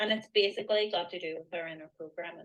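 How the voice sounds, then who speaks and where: A woman's flat, monotone delivery with a Northern Irish accent. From Northern Ireland. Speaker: mindset coach. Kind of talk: interview on a live online event.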